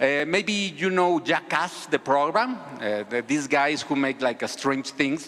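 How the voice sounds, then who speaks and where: Over noticeable background noise, a speaker with a Spanish accent talks at a fairly slow pace with hardly any pauses, very even loudness and lively intonation. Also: man, fairly high pitch for a man. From Mexico. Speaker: civic activist, video creator. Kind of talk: conference talk. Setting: stage with audience. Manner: halting, many repetitions.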